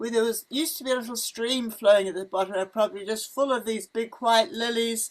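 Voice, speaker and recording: Talking very fast, a woman with a fairly high pitch uses ordinary pitch variation. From New Zealand, Wellington. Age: 80s+. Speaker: missionary. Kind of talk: casual chat. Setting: outdoors. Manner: animated.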